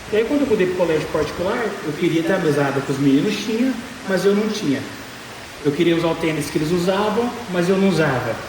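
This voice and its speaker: Amid noticeable background noise and audible room echo, a man with a high pitch speaks very fast. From Brazil, Goiânia (Goiás). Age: 20s. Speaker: business speaker. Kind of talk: motivational talk. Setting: stage with audience. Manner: animated.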